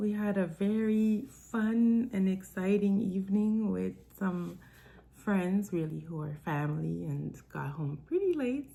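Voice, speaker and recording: The voice has a dark, mellow, warm tone and is somewhat breathy. It moves at a fairly slow pace with lively intonation. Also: woman. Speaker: author and self-development coach. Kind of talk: live-stream chat with book reading. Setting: live stream. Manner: casual, warm.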